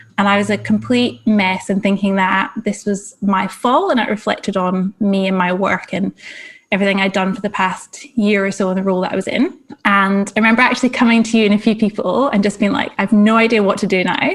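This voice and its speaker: A woman with a Scottish accent talks at a fairly quick pace in a medium pitch. Her voice is somewhat breathy with fairly even intonation. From Scotland. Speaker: career coach. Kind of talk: interview.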